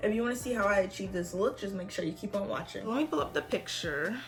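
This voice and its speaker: Faint music can be heard behind the voice. The speaker is a woman. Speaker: beauty vlogger. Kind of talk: makeup tutorial talk to camera. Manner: casual. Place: home room. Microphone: phone near.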